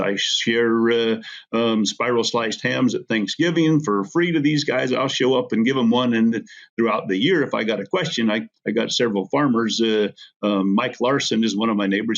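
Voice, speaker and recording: Using an American accent, a man speaks at a moderate pace with ordinary pitch variation. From Idaho, US. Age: 60s. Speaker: feedlot owner and rancher. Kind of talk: casual interview. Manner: halting, many fillers and repeats.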